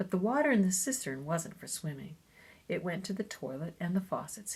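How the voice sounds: Intonation rises and falls in a lively way. It is a natural reading voice.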